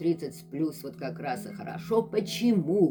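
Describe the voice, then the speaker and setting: A woman talks with lively intonation. Background music accompanies her. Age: 60s. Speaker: health vlogger. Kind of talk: casual vlog talk.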